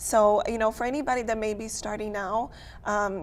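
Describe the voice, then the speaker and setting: A woman's fairly high voice with a non-native accent and fairly even intonation. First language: not English. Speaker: photographer and business owner. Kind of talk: casual chat.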